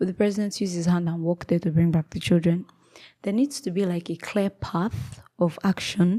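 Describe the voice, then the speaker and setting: A woman's fairly low, dark, mellow, somewhat breathy voice at a fairly quick pace with ordinary pitch variation, dry and close with no echo on a very clean recording with a silent background. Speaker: commentary vlogger. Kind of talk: opinion monologue. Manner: halting, with fillers.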